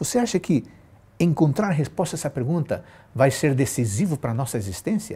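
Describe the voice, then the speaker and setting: At a fairly quick pace, a man with a fairly high pitch and a dark, mellow, somewhat breathy tone swings his pitch very widely. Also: very clean recording, silent background. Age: 50s. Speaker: pastor. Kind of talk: sermon. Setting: live stream.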